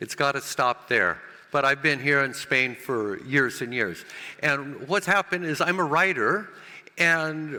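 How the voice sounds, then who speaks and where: Speaking with an American accent, a man uses a raised, projected voice at a moderate pace. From United States. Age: 70s. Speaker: cannabis grower and author. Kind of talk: conference presentation. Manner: halting, many repetitions and fillers.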